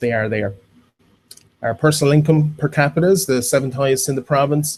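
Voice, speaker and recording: A man talks at a fairly quick pace, his voice somewhat breathy. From Ireland. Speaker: town planning speaker at public forum. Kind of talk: public presentation. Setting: stage with audience. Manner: fast.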